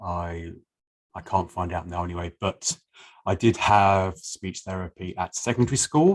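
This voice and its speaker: The speech moves at a fairly slow pace with ordinary pitch variation, in a dry, close sound with no echo and a quiet background. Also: man. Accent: English. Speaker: person who stammers. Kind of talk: interview.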